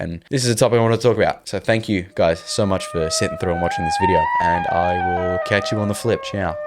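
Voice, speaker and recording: A man with an Australian accent speaks at a very fast pace with hardly any pauses. Music plays in the background. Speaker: video essayist. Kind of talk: monologue commentary.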